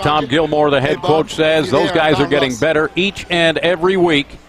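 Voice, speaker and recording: A man at a moderate pace, ordinary pitch variation, noticeable background noise behind the voice. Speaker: play-by-play commentator. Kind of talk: live commentary. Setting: outdoors.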